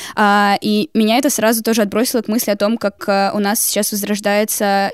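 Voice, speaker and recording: A woman with a normal speaking voice, fairly high in pitch, at a moderate pace. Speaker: student podcaster. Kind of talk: casual discussion of old newspapers.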